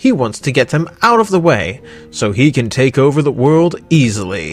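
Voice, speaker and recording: With music in the background, a man with a fairly high pitch speaks at very even loudness while his pitch swings very widely. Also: moderate pace. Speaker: voice actor. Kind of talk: news-style roundup of voice acting casting calls.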